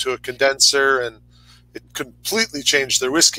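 A man's bright, sharp tone at a fairly high pitch comes through in a dry sound with no echo. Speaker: spirits brand representative; show co-host. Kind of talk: casual chat. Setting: video call. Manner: joking, playful. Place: home room. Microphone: headset.

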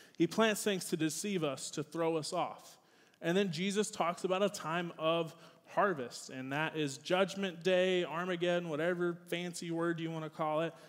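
Fairly even intonation with an American accent, against a quiet background. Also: man, high pitch for a man, moderate pace. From US South. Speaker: youth pastor. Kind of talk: sermon. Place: church.

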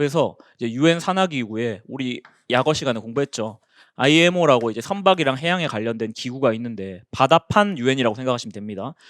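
This man has an ordinary speaking voice at a medium pitch, with lively intonation and a fairly quick pace. The recording is very clean, with a silent background. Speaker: exam prep instructor. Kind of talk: lecture. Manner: casual conversational.

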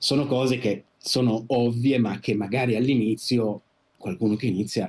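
His pitch moves with ordinary variation. The man keeps a moderate pace. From Italy, Turin; Italy. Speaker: first camera assistant; podcast guest. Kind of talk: interview. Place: home room.

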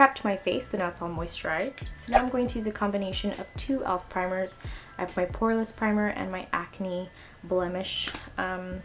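Clear music plays in the background. The speech moves at a fairly quick pace with ordinary pitch variation. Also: woman. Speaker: beauty vlogger. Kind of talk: makeup tutorial talk. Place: home room. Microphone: camera far.

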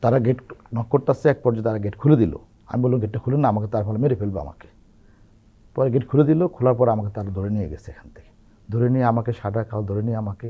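A man speaks at medium pitch with ordinary variation. His voice is somewhat breathy and swings widely in loudness. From Bangladesh, Chandpur district. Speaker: opposition political activist. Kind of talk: testimony.

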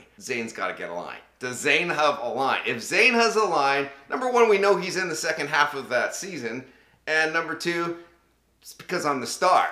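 Against a quiet background with audible room echo, a man with a fairly high pitch speaks at a moderate pace with lively intonation and big swings in loudness. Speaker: voice actor. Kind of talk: casual talk to camera. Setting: studio. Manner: casual, chatty, humorous. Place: home room.

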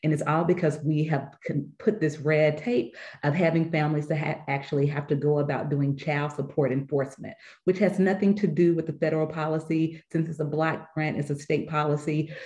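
This woman's voice is very deep and low, somewhat breathy, with a dark, mellow tone. She talks at a fairly quick pace with fairly even intonation over a quiet background. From US South. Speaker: nonprofit leader; panelist. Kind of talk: panel discussion. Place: home room. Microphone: webcam.

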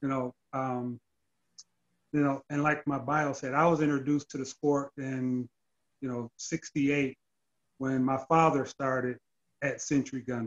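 A man with an American accent speaks fairly slowly in a flat monotone at a fairly high pitch, leaving long, frequent pauses against a quiet background. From Detroit, Michigan. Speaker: gun club vice president, retired police officer; podcast guest. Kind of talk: interview. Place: home room. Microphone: video call.

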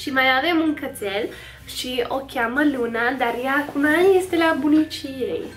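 Over music in the background, a high-pitched woman talks at a fairly slow pace with ordinary pitch variation. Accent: American. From United States. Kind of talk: casual talk to camera. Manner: upbeat.

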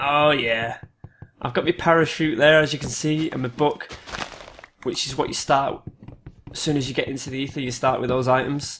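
A man with a British accent, fairly high pitch, fairly even intonation, and long, frequent pauses. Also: moderate pace. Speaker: gaming video creator. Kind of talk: gameplay commentary.

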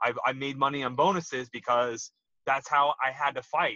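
A man's bright, sharp voice moves at a fairly quick pace with ordinary pitch variation, sounding dry with no echo over a quiet background. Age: 30s. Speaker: retired MMA fighter; interview guest. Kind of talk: casual interview chat. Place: car. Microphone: video call.

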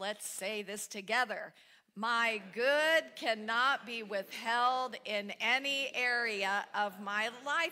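Fairly high in pitch, a woman's voice has a bright, sharp tone. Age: 60s. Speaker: spiritual speaker. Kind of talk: sermon. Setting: church. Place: church.

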